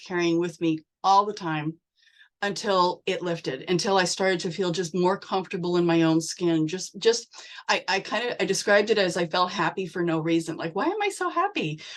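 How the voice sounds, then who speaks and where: A woman with a plain, everyday voice at a medium pitch. Her pitch varies in an ordinary way, and she talks at a moderate pace. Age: 60s. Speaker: direct sales member. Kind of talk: testimony.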